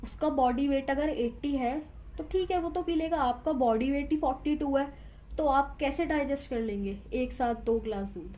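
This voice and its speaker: A woman with a high voice speaks in a dark, mellow tone with ordinary pitch variation. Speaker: tarot reader. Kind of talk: tarot reading to camera. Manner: conversational, emphatic.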